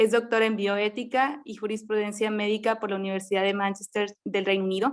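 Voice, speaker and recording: With a northern Mexican accent, a woman talks at a fairly quick pace and fairly high pitch, her intonation monotone and flat, with hardly any pauses. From Mexico, Monterrey, Nuevo León. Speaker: medical resident and forum moderator. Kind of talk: formal introductions of panelists. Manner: formal.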